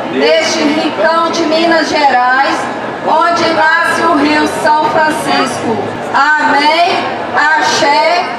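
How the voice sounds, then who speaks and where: Crowd noise fills the background and room echo is audible. The speech moves at a very slow pace. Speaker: reader at a religious or civic event. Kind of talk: read prayer or proclamation. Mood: solemn, festive closing. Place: stage.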